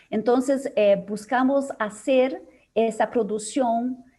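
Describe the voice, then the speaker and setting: A woman with a Portuguese accent speaks at a very slow pace. The recording is very clean, with a silent background. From Brazil. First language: Portuguese (speaking Spanish). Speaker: psychologist, organization leader. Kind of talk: conference Q&A. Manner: halting, many fillers.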